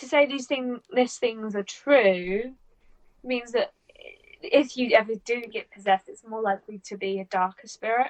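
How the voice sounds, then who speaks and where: With a British accent, a woman speaks at a high pitch with lively intonation. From Britain. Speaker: podcast co-host. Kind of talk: reading aloud a researched story; casual chat.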